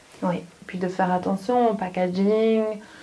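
Noticeable background noise sits behind a woman at medium pitch. Her intonation stays fairly even. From Belgium, Hainaut (Wallonia). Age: 30s. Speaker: fashion designer. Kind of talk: interview.

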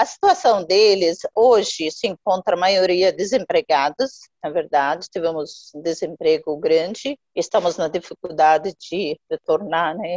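At a fairly slow pace and hardly pausing, a woman speaks at medium pitch with ordinary pitch variation in a dry, close sound with no echo. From Jordan, Palestinian family. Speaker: NGO founder. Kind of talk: interview. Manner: halting, many fillers.

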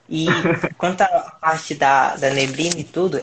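A man talks at a fairly slow pace, fairly high in pitch. He has an unremarkable speaking voice. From Brazil, Piauí. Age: 20s. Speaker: mobile photographer. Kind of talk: casual interview on live stream.

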